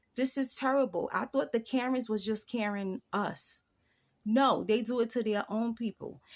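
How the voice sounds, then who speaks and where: Pitched fairly high, a woman speaks in an animated tone with a New York accent. Her pitch variation is ordinary. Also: moderate pace. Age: 40s. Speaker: YouTuber. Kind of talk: casual vlog monologue.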